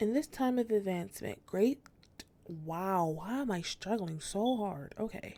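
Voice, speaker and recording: A woman's medium-pitched voice, dark and mellow in tone, with lively intonation at a fairly slow pace. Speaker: gaming YouTuber. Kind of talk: let's play commentary. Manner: stumbling while reading aloud.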